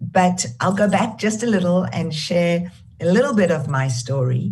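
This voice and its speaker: A woman with a South African accent, fairly low pitch and lively intonation, with audible room echo. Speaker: charity founder and CEO. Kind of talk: keynote talk. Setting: video call.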